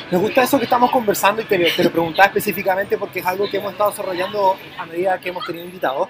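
Very fast speech over noticeable background noise. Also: hardly any pauses. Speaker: podcast co-host. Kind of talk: casual chat. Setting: studio in a bike shop.

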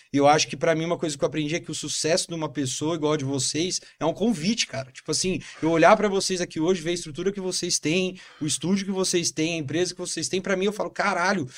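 Talking at a very fast pace, a man with a high voice shows ordinary pitch variation. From São Paulo, Brazil. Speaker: entrepreneur. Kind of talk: casual interview.

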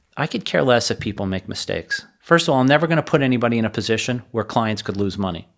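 A man talks at a very fast pace with hardly any pauses. His intonation is lively. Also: medium pitch for a man. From South Florida. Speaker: financial advisor. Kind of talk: interview conversation.

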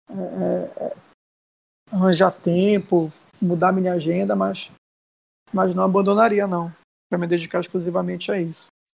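Moderately paced male speech broken by long, frequent pauses. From Brazil, Belém (Pará). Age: 30s. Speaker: viral audio personality, school foundation worker. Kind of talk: casual chat.

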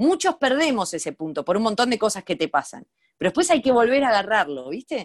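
This woman's voice has vocal fry, a fairly high pitch and very wide pitch swings at a fairly quick pace. The sound is dry and close with no echo, over a quiet background. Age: 40s. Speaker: comedian and online video creator. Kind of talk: casual interview chat. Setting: remote call.

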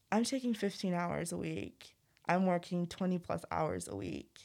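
Someone speaks in a Midwestern US accent on a very clean recording with a silent background. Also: woman. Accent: General American, Midwestern. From Zimbabwe, raised in Missouri. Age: 20s. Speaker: college student. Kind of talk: casual interview chat. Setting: studio.

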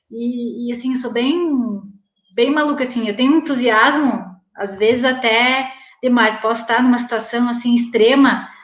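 A woman speaks at a moderate pace in a high pitch. Audible room echo surrounds her voice. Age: 40s. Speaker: weight-loss program student. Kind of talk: interview testimony. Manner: animated.

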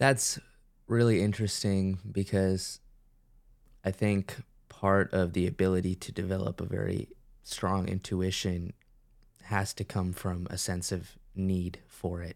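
Very deep and low in pitch, a man speaks in a monotone, flat manner at a fairly slow pace with long, frequent pauses, in a very clean recording with a silent background. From US, born in India. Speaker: podcast host. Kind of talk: podcast interview.

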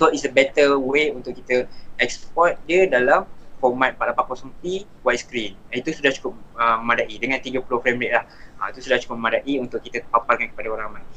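In an unremarkable speaking voice, a man at medium pitch talks at a moderate pace with ordinary pitch variation and big swings in loudness. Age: 20s. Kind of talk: casual chat. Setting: live online stream. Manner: relaxed, mixes English words.

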